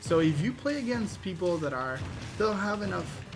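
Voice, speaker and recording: Music in the background beneath a moderate pace of speech. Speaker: gaming video creator. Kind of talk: tutorial. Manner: casual, hesitant with fillers.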